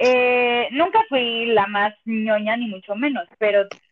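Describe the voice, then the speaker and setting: A woman uses a normal speaking voice, pitched fairly high, with typical variation in pitch. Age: 30s. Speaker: stage actress and musical performer. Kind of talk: casual chat.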